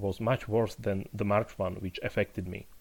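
A man speaks at a fairly low pitch with a Slovak accent. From Slovakia, Poprad. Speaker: literary critic and university lecturer. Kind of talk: interview. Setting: remote call.

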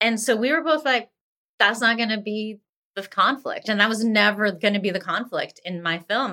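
Speaking in an American accent at a moderate pace, a woman has a fairly high pitch and a bright, sharp tone. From Pennsylvania, US (Greensburg, near Pittsburgh). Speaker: actress, writer and film director. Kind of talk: interview, casual conversation.

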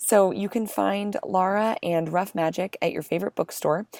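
A woman with an American accent talks at a moderate pace in an unremarkable speaking voice, medium in pitch with ordinary pitch variation, the sound dry and close with no echo. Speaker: podcast co-host. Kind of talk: podcast interview.

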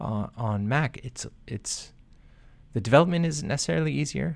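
Vocal fry and very wide pitch swings from a man. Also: very clean recording, silent background. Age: 40s. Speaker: software developer. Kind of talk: casual chat.

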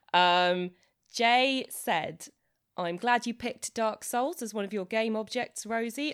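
A woman's plain, everyday voice, medium in pitch, with lively intonation. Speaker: podcast co-host. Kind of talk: casual chat.

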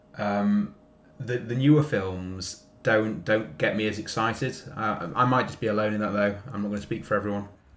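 A man speaks in an unremarkable speaking voice at a moderate pace, his fairly low pitch showing ordinary variation. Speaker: podcast contributor. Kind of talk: casual chat.

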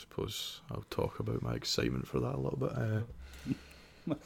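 A man's raspy, put-on character voice at a moderate pace, over light background noise

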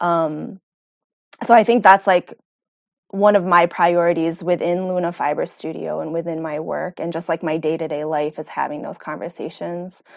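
In an American accent, a woman with an ordinary speaking voice and fairly low pitch speaks at a moderate pace with fairly even intonation and big swings in loudness. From Rochester, New York. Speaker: textile artist and instructor. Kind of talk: interview, casual. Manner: casual, many fillers.

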